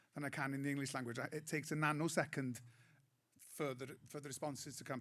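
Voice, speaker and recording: On a very clean recording with a silent background, a man with a fairly high pitch and a north Welsh accent speaks at a very fast pace. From Wales, Anglesey. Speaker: comedian. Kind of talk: panel discussion.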